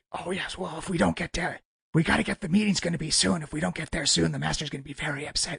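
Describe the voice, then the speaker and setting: A man's put-on character voice, raspy and fairly high, with lively intonation at a very fast pace, in a dry, close sound with no echo. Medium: actual play. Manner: nervous, rambling.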